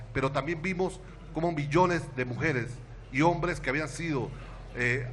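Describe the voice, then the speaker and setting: With audible room echo, a man speaks at a moderate pace with fairly even intonation. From Venezuela, Táchira state. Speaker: education activist and intellectual. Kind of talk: panel talk.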